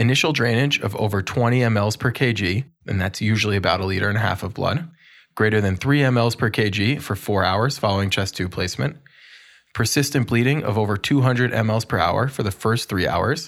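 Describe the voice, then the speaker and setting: Using a put-on character voice, a man talks at a moderate pace with a raspy, medium-pitched sound and ordinary pitch variation. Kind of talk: instructional, medical lecture. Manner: slow, deliberate.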